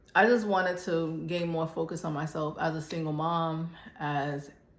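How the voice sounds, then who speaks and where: The woman's pitch is fairly low. Audible room echo can be heard. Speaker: fitness vlogger. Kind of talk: casual chat. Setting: gym.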